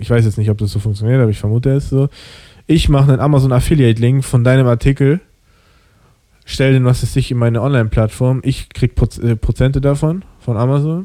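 A plain, everyday voice moves at a fairly quick pace, with ordinary pitch variation and very even loudness. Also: man, medium pitch for a man. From Germany. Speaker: podcast host. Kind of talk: casual chat.

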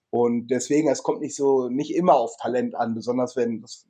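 A man speaks at a moderate pace in a medium pitch, with a dark, mellow tone and fairly even intonation. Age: 40s. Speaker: firefighter and survival trainer. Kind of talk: interview.

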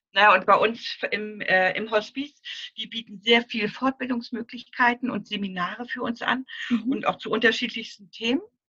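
In a dry, close recording with no echo, a woman speaks at a moderate pace with fairly high pitch, fairly even intonation and big swings in loudness. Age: 60s. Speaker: grief counselor for children. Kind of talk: interview. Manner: halting.

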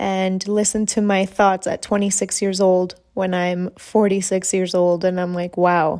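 A woman speaks with a dark, mellow tone. The recording is very clean, with a silent background. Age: 20s. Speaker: podcast host. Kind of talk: solo monologue, casual chat. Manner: casual, with frequent fillers.

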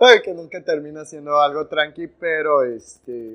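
Fairly high in pitch, a man speaks at a fairly slow pace. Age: 20s. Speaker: podcast co-host, business student and actor. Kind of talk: casual chat. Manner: animated.

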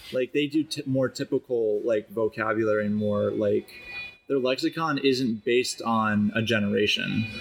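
A man with a Chicago accent talks at a moderate pace and medium pitch with ordinary pitch variation, over noticeable background noise. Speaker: podcast host. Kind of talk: casual chat. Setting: coffee shop.

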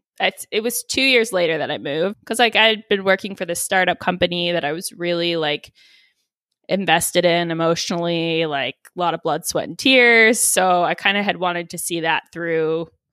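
A woman's fairly low voice with a bright, sharp tone at a moderate pace, dry and close with no echo. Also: ordinary pitch variation. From Texas. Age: 30s. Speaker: podcaster. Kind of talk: casual chat. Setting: remote interview from her apartment.

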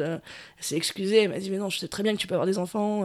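Over a silent background on a very clean recording, a woman of medium pitch talks at a very fast pace with fairly even intonation. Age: 20s. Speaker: bar owner. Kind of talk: interview. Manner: hesitant, many fillers.

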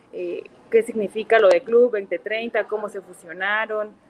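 The woman has a plain, everyday voice, fairly high in pitch, and speaks at a fairly slow pace. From Mexico, Puebla. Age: 30s. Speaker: chemistry teacher, club president. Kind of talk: casual chat.

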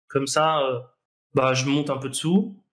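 A fairly high-pitched man talks very slowly, his intonation fairly even. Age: 20s. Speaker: professional poker player. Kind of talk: casual interview.

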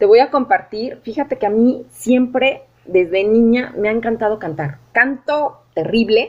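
A woman's normal speaking voice, fairly high in pitch with ordinary variation, fairly slow with hardly any pauses. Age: 40s. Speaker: podcast host. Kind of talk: casual interview chat.

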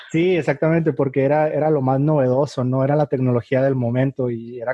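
A man at a medium pitch talks at a very fast pace with fairly even intonation. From Mexico, Tijuana. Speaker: podcast host. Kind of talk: casual chat. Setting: video call.

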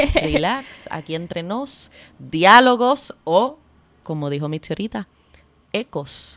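Here a woman speaks at medium pitch with a bright, sharp tone. Her pitch swings very widely, and the sound is dry and close with no echo. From Puerto Rico, Cabo Rojo. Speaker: podcast co-host, anthropologist. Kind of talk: casual chat.

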